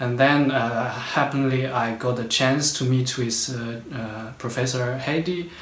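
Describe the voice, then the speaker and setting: A man with a medium-pitched voice speaks at a fairly slow pace with fairly even intonation. There is audible room echo and noticeable background noise. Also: hardly any pauses. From China. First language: Chinese. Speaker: postdoctoral researcher. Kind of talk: interview. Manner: halting, many fillers.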